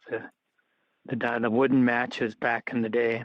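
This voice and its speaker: Speaking at a moderate pace, a man with an American accent uses a medium pitch and monotone, flat intonation. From Upper Peninsula of Michigan, US. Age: 80s+. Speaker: retired lawyer. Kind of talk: oral history interview. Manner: halting, many fillers.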